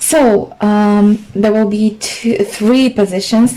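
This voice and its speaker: A woman with a fairly high voice talks at a very slow pace. Noticeable background noise runs underneath. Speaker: tarot reader. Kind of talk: tarot reading. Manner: halting.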